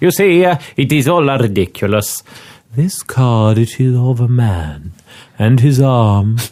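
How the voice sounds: The natural reading voice here carries lively intonation throughout.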